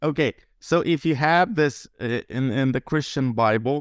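In a very clean recording with a silent background, a man with a Lithuanian accent talks at a moderate pace with ordinary pitch variation, the sound dry and close with no echo. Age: 20s. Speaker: translator. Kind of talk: casual chat.

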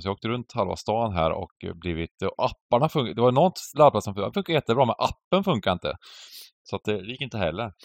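A man speaks at a moderate pace. The sound is dry and close with no echo, over a quiet background. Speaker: poker podcast co-host. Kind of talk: casual chat. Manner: animated, loud ranting.

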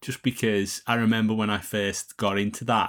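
At a fairly quick pace, a man with a Liverpool accent speaks at a fairly low pitch on a very clean recording with a silent background. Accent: Liverpool (Scouse). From Liverpool, England. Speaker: songwriter and podcast host. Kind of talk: casual interview chat.

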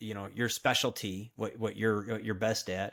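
Recorded very cleanly against a silent background, a man with an American accent talks with fairly even intonation. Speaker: operations consultant. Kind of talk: interview. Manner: halting, many fillers.

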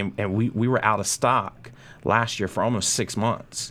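A man with a plain, everyday voice and an American accent at a moderate pace, in a very clean recording with a silent background. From North Carolina. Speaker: cigar brand manager. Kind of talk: casual chat. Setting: studio.

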